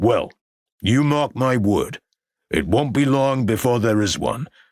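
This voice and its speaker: Here a man does a put-on character voice at medium pitch, with ordinary pitch variation. His loudness stays very even and his pace is fairly slow. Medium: read story. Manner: brash, brusque.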